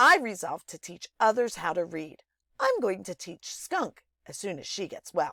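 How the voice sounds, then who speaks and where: A female-sounding voice at middle pitch performs a put-on character voice at a moderate pace on a very clean recording with a silent background. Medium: read story.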